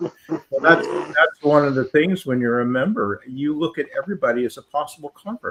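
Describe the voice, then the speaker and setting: A man with an American accent speaks at a moderate pace in a normal speaking voice, his pitch fairly high and his intonation lively. There are hardly any pauses, and the sound is dry and close with no echo. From US West Coast (Southern California, Goleta). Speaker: former church member. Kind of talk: casual chat.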